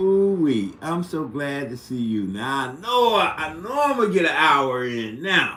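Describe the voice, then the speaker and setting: Using a medium pitch, a man talks with very wide pitch swings. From US Midwest, St. Louis. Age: 60s. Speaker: live streamer. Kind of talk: casual chat. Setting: live stream. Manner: halting.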